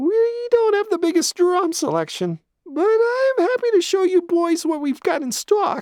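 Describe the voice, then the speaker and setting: In a put-on character voice, the speaker sounds squeaky and whiny at an extremely high pitch and a moderate pace. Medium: read story. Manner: brisk salesy, overly sweet.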